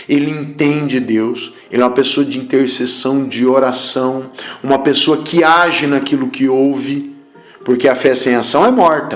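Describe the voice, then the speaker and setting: With audible room echo and noticeable background noise, a man speaks at a moderate pace and medium pitch with fairly even intonation. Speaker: apostle / preacher. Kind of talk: sermon.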